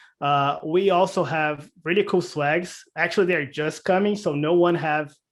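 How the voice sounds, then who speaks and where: Man with a non-native accent at a moderate pace, on a very clean recording with a silent background. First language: not English. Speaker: cloud community presenter. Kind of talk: presentation. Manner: hesitant, many fillers.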